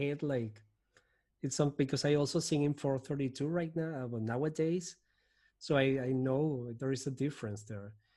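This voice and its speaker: Speaking in a Spanish accent at a moderate pace, a man has a fairly high pitch and a dark, mellow tone with fairly even intonation. The recording is very clean, the background silent. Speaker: podcast host. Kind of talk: interview, podcast host.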